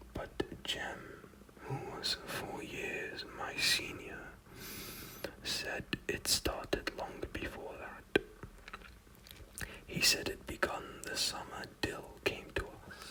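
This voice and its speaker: Whispering, the speaker goes at a very slow pace and leaves long, frequent pauses. Behind it there is noticeable background noise. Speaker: ASMR content creator. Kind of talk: ASMR book reading, relaxing whispers. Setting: close microphone setup with audible breaths. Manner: whispered, soft-spoken, slow.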